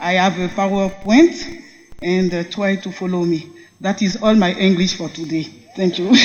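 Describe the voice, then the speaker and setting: A woman speaks at a medium pitch. The room adds an audible echo. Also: ordinary pitch variation, moderate pace. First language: French. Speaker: military officer. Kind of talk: conference presentation.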